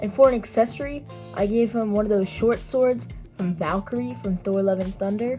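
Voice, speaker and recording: With music playing in the background, a woman talks at a moderate pace and ordinary pitch variation. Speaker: toy figure customizer. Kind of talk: casual hobby tutorial to camera.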